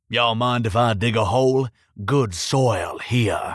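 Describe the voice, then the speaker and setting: A man puts on a growling character voice in a strong Texan accent, drawling at a fairly slow pace. His pitch sits at a medium level. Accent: thick southern Texan drawl. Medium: read story. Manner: drawling, folksy, polite.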